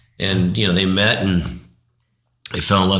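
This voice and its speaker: A speaker with an American accent talks at a fairly quick pace. Some room echo can be heard. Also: man. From Arizona, US. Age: 60s. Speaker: interview guest sharing life story. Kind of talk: faith testimony interview. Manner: halting, many restarts.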